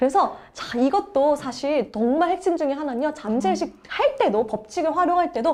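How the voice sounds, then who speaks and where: Her tone is animated. The woman's pitch moves in very wide swings. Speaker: book review channel host. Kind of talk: book summary talk. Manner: fast.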